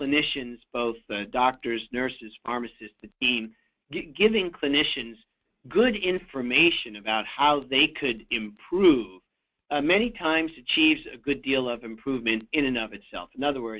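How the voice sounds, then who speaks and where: At a moderate pace, a man with an American accent speaks in a medium pitch with big swings in loudness and a normal speaking voice. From USA. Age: 60s. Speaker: physician and healthcare quality expert. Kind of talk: webinar Q&A. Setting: webinar.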